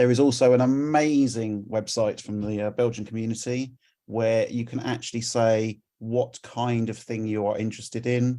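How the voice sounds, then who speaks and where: In a London accent, a man speaks at a moderate pace with a dark, mellow tone, medium pitch and monotone, flat intonation. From England, London. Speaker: community volunteer presenter. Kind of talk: conference presentation.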